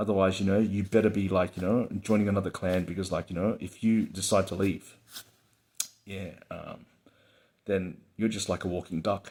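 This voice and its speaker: This man talks at a moderate pace in a fairly low pitch, his intonation monotone and flat. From Hong Kong, raised in Australia. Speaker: channel host, storyteller. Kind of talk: casual monologue. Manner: filler-heavy, halting.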